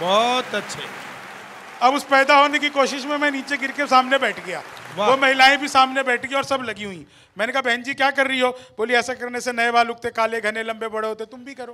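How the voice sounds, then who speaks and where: Over crowd noise in the background, a man with an extremely high pitch projects a raised, animated voice at a moderate pace, with big swings in loudness. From Bihar, India. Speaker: comedic poet. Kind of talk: stand-up; stand-up comic storytelling. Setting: stage with audience. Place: stage. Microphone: handheld.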